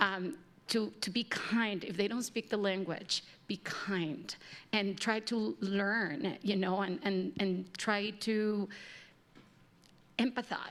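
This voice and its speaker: A woman's medium-pitched voice with a slight Mexican accent, at a very slow pace with fairly even intonation and long, frequent pauses. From Mexico. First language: Spanish. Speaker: panel moderator. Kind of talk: panel discussion.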